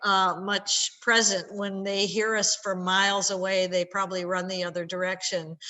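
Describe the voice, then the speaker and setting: A woman speaks at a fairly slow pace in an unremarkable speaking voice, her pitch medium. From upstate New York. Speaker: scientist. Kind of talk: educational talk for schoolchildren. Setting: video call.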